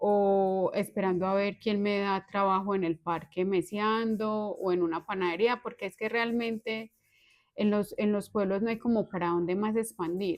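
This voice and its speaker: A woman with an unremarkable speaking voice talks at a fairly slow pace, at medium pitch with ordinary pitch variation. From Colombia, Antioquia (Valparaíso). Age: 30s. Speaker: accountant. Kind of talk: interview.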